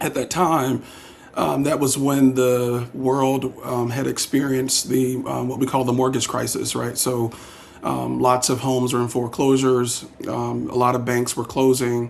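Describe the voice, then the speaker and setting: Against noticeable background noise, a man speaks with a South Carolina accent at a moderate pace. His pitch is medium and his intonation monotone and flat. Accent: Southern US (South Carolina). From US South, South Carolina (Darlington). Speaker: political candidate, banker. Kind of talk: candidate interview. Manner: hesitant, many fillers.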